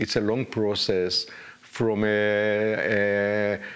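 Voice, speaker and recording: A man's fairly low voice at a very slow pace. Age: 80s+. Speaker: retired army general, war veteran. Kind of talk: interview. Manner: halting, many fillers.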